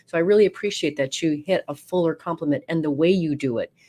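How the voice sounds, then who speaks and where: At a fairly quick pace, a woman with a slight New York accent speaks in a very deep, low pitch with a dark, mellow tone and ordinary pitch variation. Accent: slight New York accent picked up. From Oregon. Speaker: radio host. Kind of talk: interview.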